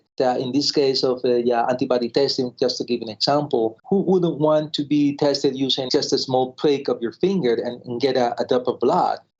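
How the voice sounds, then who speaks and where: A man with a Spanish accent talks at a fairly quick pace with hardly any pauses, his fairly high voice keeping fairly even intonation. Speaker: pathologist, lab director. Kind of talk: interview.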